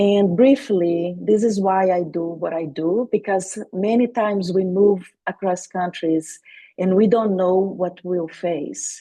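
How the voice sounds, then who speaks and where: Dark, mellow female voice at medium pitch with a Portuguese accent, at a very slow pace with ordinary pitch variation. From Brazil, Salvador Bahia. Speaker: intercultural coach and speaker. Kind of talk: webinar presentation.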